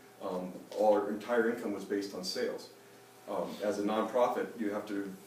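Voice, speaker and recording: Delivered at a moderate pace in a monotone with flat intonation, the voice carries audible room echo. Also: man, fairly low pitch for a man. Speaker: nonprofit craft gallery director. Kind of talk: conference panel talk. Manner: mumbling, voice lowers; hesitant, many fillers.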